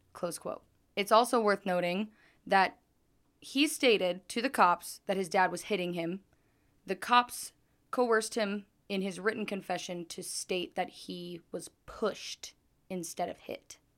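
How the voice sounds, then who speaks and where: An ordinary speaking voice from a woman with an American accent, medium in pitch with ordinary pitch variation, big swings in loudness and a fairly slow pace, on a very clean recording with a silent background. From southern Idaho. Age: 20s. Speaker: true crime podcast host. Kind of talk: true crime storytelling. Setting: recording away from usual studio.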